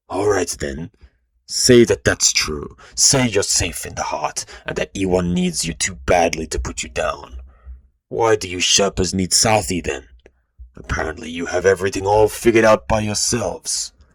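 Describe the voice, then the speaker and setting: Moderate-paced speech in a put-on character voice from a man, pitched very deep and low. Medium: read story. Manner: measured, pressing.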